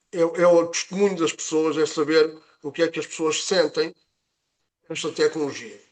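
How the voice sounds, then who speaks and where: A man with a European Portuguese accent and a high-pitched voice. He talks at a moderate pace. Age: 60s. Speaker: nurse presenting health product session. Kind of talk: online presentation. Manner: halting with fillers.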